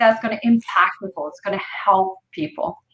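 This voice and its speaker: The voice has a bright, sharp tone and a French accent. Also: woman. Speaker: entrepreneur. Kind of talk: interview.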